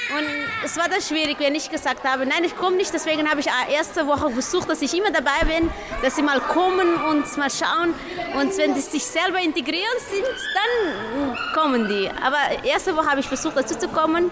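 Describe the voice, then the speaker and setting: A woman talks at a fairly quick pace in a high pitch, with lively intonation and very even loudness. Music plays in the background, and the room echo is audible. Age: young. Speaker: social worker. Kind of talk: interview. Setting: outdoor festival.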